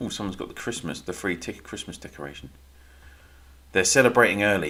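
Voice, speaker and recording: A man with a British accent talks at a very fast pace in a bright, sharp tone. His loudness swings widely from moment to moment. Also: fairly low pitch for a man, lively intonation. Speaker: gaming livestreamer. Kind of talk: live stream commentary. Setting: live stream. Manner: casual, rambling.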